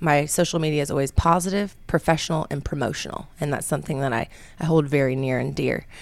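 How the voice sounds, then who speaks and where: Speaking very fast with vocal fry and fairly even intonation, a woman with a very deep, low pitch comes through on a very clean recording with a silent background. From Atlanta area, Georgia. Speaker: radio station marketing executive. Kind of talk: casual interview chat. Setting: radio studio.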